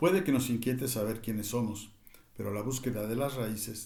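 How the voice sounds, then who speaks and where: A man's somewhat breathy voice, medium in pitch with a dark, mellow tone, carries audible room echo. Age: 60s. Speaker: cultural commentator. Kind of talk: reading aloud; reflective monologue. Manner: halting, with fillers.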